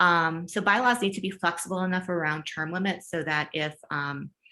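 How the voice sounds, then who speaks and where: The voice belongs to a woman with a bright, sharp tone. Her pitch varies in an ordinary way. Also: quiet background. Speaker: education leadership consultant. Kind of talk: webinar Q&A. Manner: fast.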